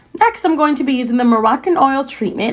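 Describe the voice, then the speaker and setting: A woman's lively intonation. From Costa Rica. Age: 20s. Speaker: freelance makeup artist. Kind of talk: casual beauty tutorial talk to camera.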